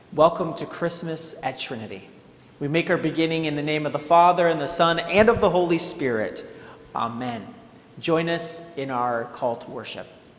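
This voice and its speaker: A man's voice at a moderate pace, with ordinary pitch variation and big swings in loudness. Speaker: pastor. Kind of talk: service welcome address. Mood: warm, welcoming. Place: church. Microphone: lapel.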